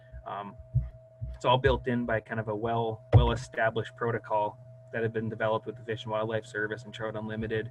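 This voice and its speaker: Over music in the background, a man speaks very fast in a medium pitch with a monotone, flat intonation. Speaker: hydrologist. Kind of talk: presentation.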